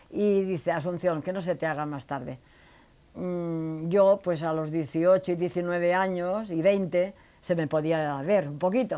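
At a very slow pace, a woman speaks in a fairly low, dark and mellow voice with ordinary pitch variation. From Spain, Elche (Alicante); Spain. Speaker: elderly interviewee recounting life story; interviewee. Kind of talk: life story interview. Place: home room. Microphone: lapel.

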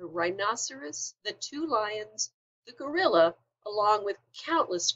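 An unforced reading voice set against a quiet background

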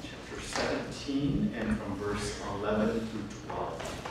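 A man talks at a fairly slow pace. There is audible room echo and loud background noise. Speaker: pastor. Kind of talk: sermon. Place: church.

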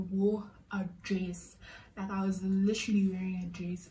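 A woman speaks slowly-ish, at a fairly slow pace, in a somewhat breathy voice. Her tone is dark and mellow, her intonation monotone and flat. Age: 20s. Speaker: vlogger. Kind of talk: storytime vlog to camera. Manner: casual, chatty. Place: home room. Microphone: phone near.

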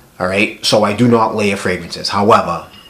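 Over noticeable background noise, the voice comes across with monotone, flat intonation. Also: man. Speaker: fragrance reviewer. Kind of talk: casual talk to camera.

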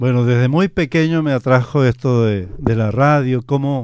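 A man's fairly slow speech with ordinary pitch variation, in a dry sound with no echo. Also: quiet background. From Chile (Talcahuano, Concepción); Chile. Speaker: radio announcer. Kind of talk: radio interview. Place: studio. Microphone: studio mic.

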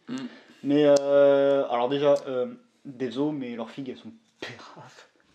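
A man's fairly high, dark and mellow voice, monotone and flat, at a very slow pace. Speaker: YouTuber, miniature wargaming hobbyist. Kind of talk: casual chat.

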